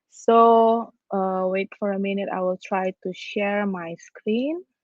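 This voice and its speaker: The pace is very slow. A woman is speaking at a medium pitch. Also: ordinary pitch variation. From Indonesia. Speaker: design professor. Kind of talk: online presentation. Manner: halting, many fillers.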